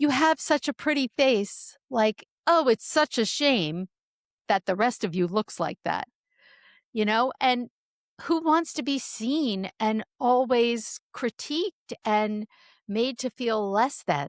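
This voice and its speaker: A woman speaks at a very slow pace and high pitch with lively intonation. The recording is very clean, with a silent background and a dry, close sound with no echo. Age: 60s. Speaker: author and speaker on midlife change. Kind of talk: interview conversation.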